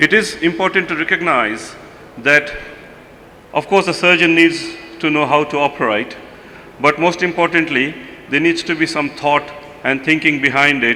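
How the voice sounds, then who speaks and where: A man's fairly high voice at a moderate pace, with ordinary pitch variation, long, frequent pauses and noticeable background noise. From India. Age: 50s. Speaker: pediatric surgeon. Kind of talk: conference lecture.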